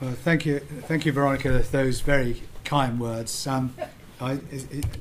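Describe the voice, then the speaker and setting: Heard through audible room echo and noticeable background noise, the speaker delivers a monotone, flat intonation in a British accent. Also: man, medium pitch for a man, moderate pace. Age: 70s. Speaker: ophthalmologist and charity patron. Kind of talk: conference talk. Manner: halting.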